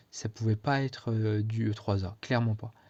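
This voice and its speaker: A man's medium-pitched, somewhat breathy voice with a dark, mellow tone, monotone, flat intonation and a moderate pace, against a quiet background. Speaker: student vlogger. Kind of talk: casual vlog. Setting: speaking to camera. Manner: hesitant, many fillers.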